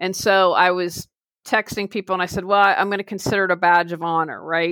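A woman speaks at a moderate pace in a medium pitch, her tone bright and sharp. The recording is very clean, with a silent background. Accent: American. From West Virginia, Wheeling. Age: 50s. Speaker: life coach and professional organizer. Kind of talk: interview. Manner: animated.

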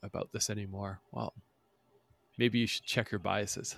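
A man speaks at a fairly low pitch with vocal fry and fairly even intonation. The sound is dry and close with no echo, on a very clean recording with a silent background. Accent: American. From northern US. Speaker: podcast host. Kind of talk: casual interview.

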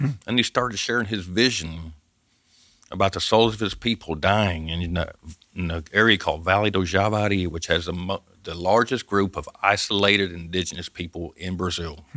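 On a very clean recording with a silent background, a man with a Southern US accent speaks fairly quickly in a bright, sharp tone, with a fairly low pitch and ordinary pitch variation. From US South, Arkansas Ozarks. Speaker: missionary, former forestry worker. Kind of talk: testimony. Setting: studio.

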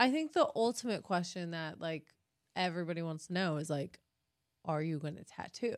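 A woman's ordinary speaking voice, fairly low in pitch with ordinary pitch variation, at a fairly quick pace on a very clean recording with a silent background. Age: 30s. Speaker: tattoo artist and podcast host. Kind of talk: casual chat.

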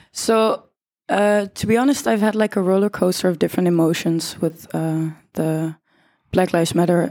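This woman has a fairly low pitch, a dark, mellow tone and ordinary pitch variation, speaking in a Dutch accent at a moderate pace. The recording is very clean, with a silent background. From Netherlands, The Hague. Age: 20s. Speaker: art school student. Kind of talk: live panel discussion. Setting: theater hall with live audience.

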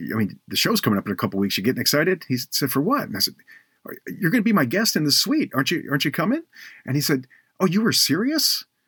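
A man with a fairly high pitch and vocal fry talks very fast with very wide pitch swings, in a very clean, dry, close recording with a silent background and no echo. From Baltimore. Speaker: podcast host. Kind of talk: interview.

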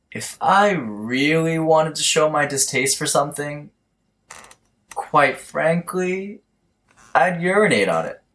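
A man drawls in a put-on character voice with a fairly high pitch. He goes at a fairly slow pace, with long, frequent pauses. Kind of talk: comic stoner caricature. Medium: audio drama. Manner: laid-back slacker drawl, says bro.

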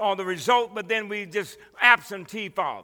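A man projects a raised voice at a moderate pace, his high, bright, sharp tone sounding animated. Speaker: pastor. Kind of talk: sermon. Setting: church with congregation. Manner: animated, call-and-response preaching; fervent, exhorting the congregation.

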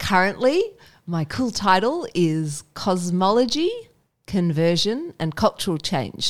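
A very slow woman's voice in an Australian accent, medium in pitch with lively intonation, on a very clean recording with a silent background. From Indonesia, raised by Australian missionary parents. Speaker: missionary and PhD researcher. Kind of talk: casual interview about faith and burnout.

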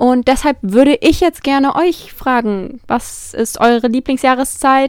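A woman speaks at a high pitch with ordinary pitch variation, the sound dry and close with no echo. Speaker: podcast host. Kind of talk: solo monologue. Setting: alone in her room. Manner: affected-sounding.

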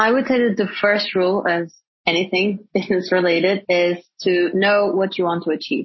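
A woman with a Portuguese accent, somewhat breathy, at medium pitch and moderate pace, with fairly even intonation and very even loudness. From Portugal. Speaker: startup executive. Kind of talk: interview.

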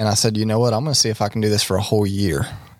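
With an eastern North Carolina accent, a man talks at a fairly low pitch in a monotone, flat intonation. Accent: US Southern (eastern North Carolina). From eastern North Carolina (Tarboro). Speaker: podcast co-host, construction worker. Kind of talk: casual chat, faith testimony.

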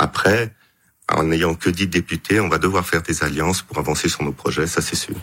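His pitch sits very deep and low, and his intonation stays fairly even. The man's tone is bright and sharp, delivered at a moderate pace. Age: 50s. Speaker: politician and physician. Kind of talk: radio interview.

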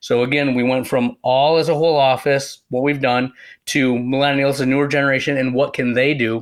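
Using a normal speaking voice, a man with an American accent talks at a moderate pace in a fairly high pitch. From West Michigan, US. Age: young. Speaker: optometrist. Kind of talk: casual interview.

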